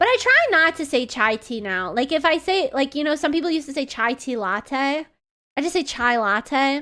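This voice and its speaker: Over music in the background, a woman with a high pitch uses a raised, projected voice, lively intonation, and a moderate pace. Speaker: vtuber streamer. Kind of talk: casual chat. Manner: animated.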